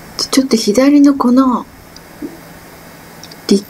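A woman speaks at a fairly slow pace. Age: 50s. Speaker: cyclist vlogger. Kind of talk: casual vlog narration while cycling. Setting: outdoors. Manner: out of breath, effortful. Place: bicycle. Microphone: camera far.

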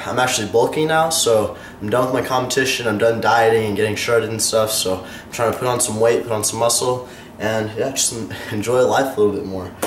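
Male speech of ordinary pitch variation amid audible room echo and light background noise. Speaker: fitness vlogger. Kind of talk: casual vlog chat. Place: kitchen.

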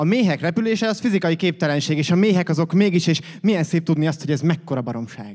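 Over a quiet background, a man talks at a very fast pace and fairly high pitch with lively intonation. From Hungary. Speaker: slam poet. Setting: stage with audience, competition. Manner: animated, playful, with comic sound effects and mimicry of phone rings and bus noises; fast, rhythmic delivery with punchy pauses and sarcastic, confessional turns. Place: stage. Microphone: studio mic.

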